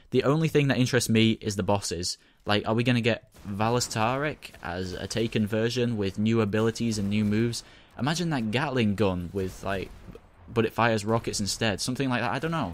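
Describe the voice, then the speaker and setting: This man speaks at a fairly quick pace with a medium pitch and ordinary pitch variation. The recording is very clean, with a silent background. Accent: Mancunian. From northern England, Manchester. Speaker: gaming YouTuber. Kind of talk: casual video commentary. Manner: fast.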